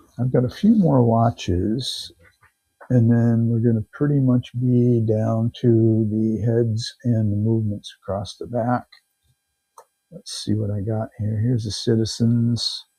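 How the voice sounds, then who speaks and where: Over music in the background, the speaker talks at a fairly slow pace with fairly even intonation. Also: man, medium pitch for a man. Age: 60s. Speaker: live auction seller. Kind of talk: live selling stream.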